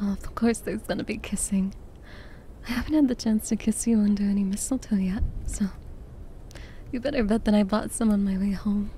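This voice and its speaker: A woman, soft-spoken and somewhat breathy, fairly high in pitch and fairly quick, in a dry sound with no echo and light background noise. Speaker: vtuber. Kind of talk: ASMR roleplay. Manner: soft-spoken, affectionate. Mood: affectionate, soft, sleepy.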